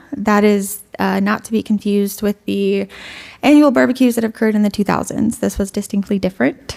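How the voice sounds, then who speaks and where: A woman speaks at a fairly quick pace, her medium pitch moving with ordinary variation. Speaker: history intern presenting research. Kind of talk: conference presentation. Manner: fast.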